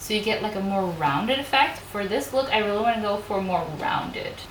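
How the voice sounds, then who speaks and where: A woman at medium pitch with a non-native accent, fairly quick pace and ordinary pitch variation, plus audible room echo and noticeable background noise. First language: not English. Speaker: beauty youtuber, makeup artist. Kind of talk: casual chat; makeup tutorial. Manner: casual, chatty.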